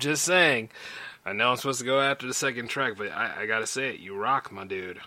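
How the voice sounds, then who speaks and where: A man is speaking. His tone is bright and sharp. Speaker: radio host. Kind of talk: casual chat. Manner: animated.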